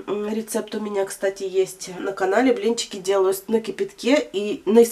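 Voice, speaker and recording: A woman is speaking. Her pace is moderate. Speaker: home vlogger. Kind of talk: casual vlog chat. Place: home room. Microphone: phone near.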